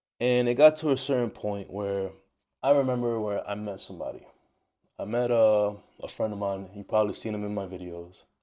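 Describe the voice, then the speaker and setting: A man with a New York accent and a dark, mellow tone speaks at a fairly quick pace, with big swings in loudness. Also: ordinary pitch variation, quiet background. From New York, Dominican-American. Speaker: travel vlogger. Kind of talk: personal monologue to camera. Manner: halting, with repetitions.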